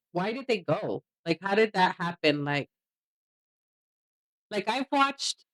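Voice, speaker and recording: Fairly slow and animated, the speaker talks in a Mexican accent with very wide pitch swings and long, frequent pauses, the sound dry and close with no echo. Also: woman, medium pitch for a woman. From Mexican heritage. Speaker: reaction podcast co-host. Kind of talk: casual chat.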